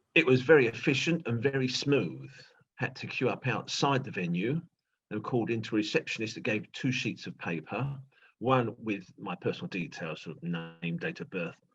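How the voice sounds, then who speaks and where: A man with a British accent and a medium pitch talks at a moderate pace, with vocal fry, big swings in loudness and very wide pitch swings. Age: 60s. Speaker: retired teacher, interviewee. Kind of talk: interview. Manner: halting.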